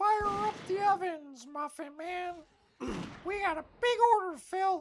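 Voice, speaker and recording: This is a put-on character voice with extremely high pitch. It moves at a fairly slow pace. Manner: playful, bossy.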